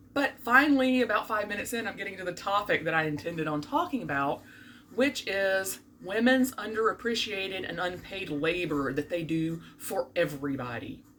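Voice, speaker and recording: A woman at a medium pitch with a slight Southern US accent and very wide pitch swings, at a moderate pace, amid noticeable background noise. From US South (Birmingham, Alabama). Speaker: vlogger, court clerk. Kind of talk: casual vlog monologue. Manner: animated.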